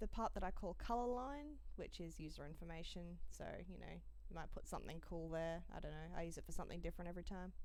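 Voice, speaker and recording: A woman talking at a very fast pace, with audible room echo. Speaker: coding tutorial creator. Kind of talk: tutorial.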